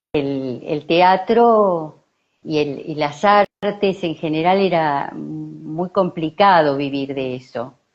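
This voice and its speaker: Over music in the background, a woman talks very slowly in a very deep, low voice with ordinary pitch variation. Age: 70s. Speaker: psychologist and theatre artist. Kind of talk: interview. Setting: live stream.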